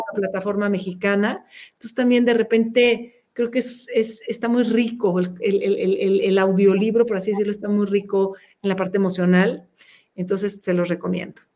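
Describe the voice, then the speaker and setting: A woman with a dark, mellow tone talks at a medium pitch with fairly even intonation. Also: moderate pace. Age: 50s. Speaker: open-water swimmer. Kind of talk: interview.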